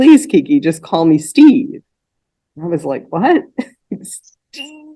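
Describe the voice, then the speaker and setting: Speaking at a very slow pace, a woman with a high voice and a dark, mellow tone swings widely in loudness. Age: 60s. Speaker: talk show host and interviewer. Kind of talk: interview. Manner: hesitant, many fillers.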